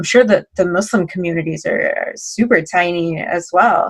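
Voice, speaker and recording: A woman with a plain, everyday voice, moderate in pace, with ordinary pitch variation. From Miami, Florida. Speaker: panel guest. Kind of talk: casual chat.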